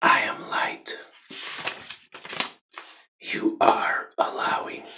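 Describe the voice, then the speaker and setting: A man whispers at a very slow pace. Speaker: ASMR creator. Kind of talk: ASMR positive affirmations. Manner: whispered. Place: home room.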